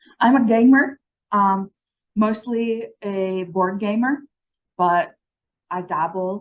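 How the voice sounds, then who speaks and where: A woman speaks with an Italian accent. Her pitch is medium, with ordinary variation. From Italy. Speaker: physician and medical educator. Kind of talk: conference presentation.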